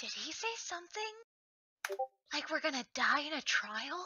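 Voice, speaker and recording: Someone does a put-on character voice with a high pitch, talking at a moderate pace. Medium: actual play. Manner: blunt, brash.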